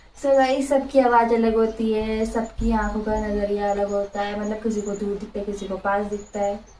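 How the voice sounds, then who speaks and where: Monotone, flat intonation at a moderate pace with hardly any pauses, plus audible room echo and noticeable background noise. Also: woman, fairly high pitch for a woman. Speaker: vlogger. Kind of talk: casual Q&A chat reading viewer comments. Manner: soft-spoken.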